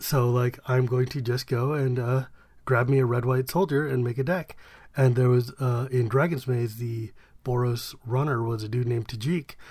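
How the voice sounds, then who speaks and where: A man talks at a moderate pace. His voice is somewhat breathy, with fairly even intonation. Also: medium pitch for a man. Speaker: podcast co-host. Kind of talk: casual banter about card game.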